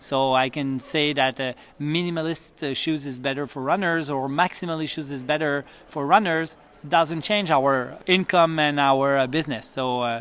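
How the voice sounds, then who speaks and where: With a Quebec French accent, a man talks at a moderate pace, his fairly high pitch carried by fairly even intonation. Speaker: physiotherapist, running clinic educator. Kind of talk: interview. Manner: halting, many fillers.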